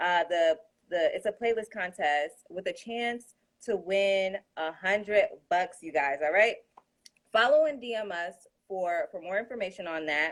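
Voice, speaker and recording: A woman's medium-pitched voice with lively intonation at a fairly slow pace. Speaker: Instagram live interviewer. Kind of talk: casual live-stream interview. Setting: Instagram live. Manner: hesitant, filler-heavy.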